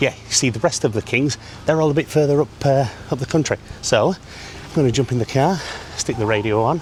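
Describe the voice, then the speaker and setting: With noticeable background noise behind him, a man in a northern English accent speaks fairly quickly at a fairly high pitch with ordinary pitch variation. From northern England. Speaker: travel vlogger. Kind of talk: casual vlog to camera. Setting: inside a cathedral. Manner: whispering; hesitant fillers.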